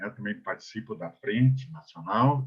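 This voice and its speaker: Speaking at a fairly slow pace, a man with a medium pitch sounds somewhat breathy. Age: 70s. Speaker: elderly rights council advocate, panelist. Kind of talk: webinar panel talk. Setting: online webinar. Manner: halting, many fillers and restarts.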